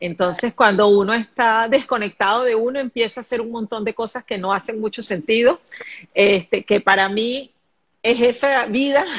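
In a normal speaking voice, the words come at a moderate pace with ordinary pitch variation. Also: woman. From Venezuela, Caracas. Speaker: spiritual medium and life coach. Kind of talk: live stream conversation. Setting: live video stream.

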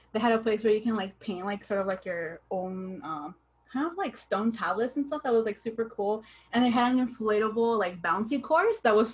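At a moderate pace, a woman speaks in a fairly high, somewhat breathy voice with ordinary pitch variation. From Southern California (San Diego). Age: 20s. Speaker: podcast host. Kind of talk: casual chat.

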